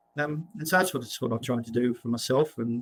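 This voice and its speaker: A man speaks in an Australian accent at a fairly quick pace. His pitch variation is ordinary. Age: 60s. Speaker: property cycle author and investment newsletter writer. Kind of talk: interview. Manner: halting, many repetitions.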